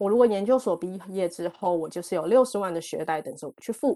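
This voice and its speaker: At a fairly quick pace, a woman speaks in a plain, everyday voice, medium in pitch with ordinary pitch variation, against a quiet background. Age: 40s. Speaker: e-commerce professional. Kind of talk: talk to online audience. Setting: online talk.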